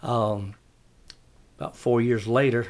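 Moderately paced, a man speaks at a medium pitch with a South Carolina accent. His intonation is flat and monotone. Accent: Southern US (South Carolina). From US South, upstate South Carolina. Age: 60s. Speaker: city parks and recreation director. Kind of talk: casual interview.

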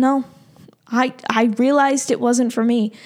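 A woman's voice with fairly high pitch. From Massachusetts, Boston area. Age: 20s. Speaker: podcast host and fitness instructor. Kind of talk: solo podcast monologue. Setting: office.

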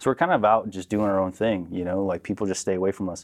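A man speaks with an American accent at a fairly low pitch. He has an unremarkable speaking voice with ordinary pitch variation. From Southern California. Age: 30s. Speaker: military veteran and youth mentor. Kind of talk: casual interview conversation.

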